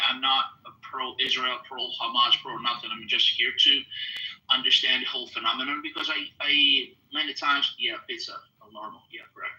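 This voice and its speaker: Fairly quick speech from a man over noticeable background noise. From Italy. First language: Italian. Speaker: listener in discussion. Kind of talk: heated debate. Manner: halting.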